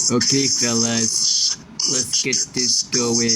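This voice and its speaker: With clear background noise around him, a man puts on a character voice of medium pitch and speaks at a very slow pace. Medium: game stream.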